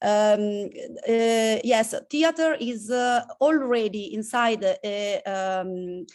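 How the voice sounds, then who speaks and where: With an Italian accent, a woman speaks at a fairly high pitch. Her pitch variation is ordinary, and the background is quiet. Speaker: community theatre practitioner. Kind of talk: panel discussion. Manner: halting, many fillers.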